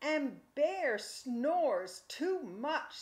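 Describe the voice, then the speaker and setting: A woman's high-pitched, growling put-on character voice. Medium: read story. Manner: fussy.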